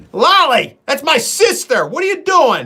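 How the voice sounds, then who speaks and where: A man speaks in a raised, projected voice with a bright, sharp, animated tone. His pace is moderate. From upstate New York. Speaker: YouTuber, hunter and trapper. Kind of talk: casual live stream chat. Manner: animated, halting.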